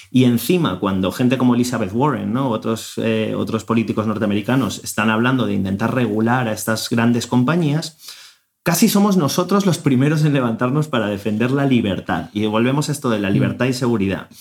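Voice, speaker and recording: A plain, everyday voice from a man, medium in pitch, with lively intonation and a fairly quick pace. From Spain. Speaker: podcast host. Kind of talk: interview.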